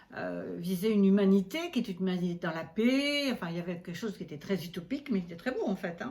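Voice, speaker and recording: With a medium pitch and lively intonation, a woman talks at a very fast pace, her loudness swinging widely over noticeable background noise. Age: 70s. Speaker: astrologer. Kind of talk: interview.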